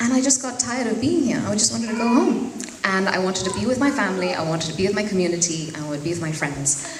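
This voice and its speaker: Over noticeable background noise and audible room echo, a woman talks at a very fast pace with very wide pitch swings. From Zambia (Lusaka). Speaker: fashion designer. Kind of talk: speech at networking event.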